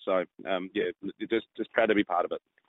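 A man speaks at a very fast pace. He has an Australian accent. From South Australia, Adelaide Hills. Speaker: real estate agent, podcast sponsor. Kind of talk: casual chat. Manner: halting.

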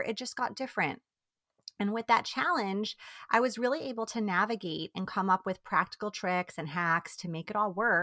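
Lively intonation and a bright, sharp tone mark this woman's voice at a fairly quick pace. The sound is dry and close, with no echo. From New York. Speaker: time management coach for mothers. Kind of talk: interview.

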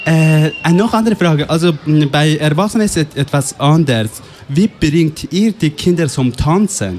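A fairly high-pitched man with lively intonation, very even loudness and a moderate pace, music in the background. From Afghanistan. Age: 20s. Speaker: youth radio workshop participant. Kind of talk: interview; announcements. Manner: halting.

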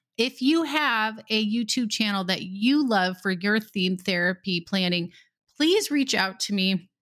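A woman with a medium pitch speaks fairly slowly in an animated tone with lively intonation and very even loudness, recorded very cleanly against a silent background. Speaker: speech pathologist podcast host. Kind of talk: solo podcast talk.

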